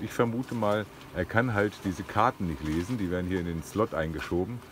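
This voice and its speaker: Over noticeable background noise, a man speaks at a fairly low pitch and a fairly slow pace, the sound dry with no echo. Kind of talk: casual vlog chat. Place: boat. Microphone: phone near.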